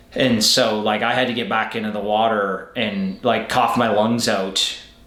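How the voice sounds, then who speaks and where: Against noticeable background noise and audible room echo, a man talks at medium pitch. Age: 30s. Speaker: professional triathlete. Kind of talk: casual interview chat.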